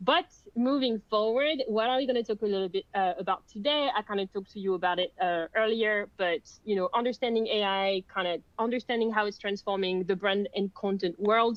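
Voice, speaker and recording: A woman's medium-pitched voice with a French accent, a fairly quick pace, ordinary pitch variation and very even loudness. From France. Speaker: content marketing lead. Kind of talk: webinar presentation. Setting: online webinar.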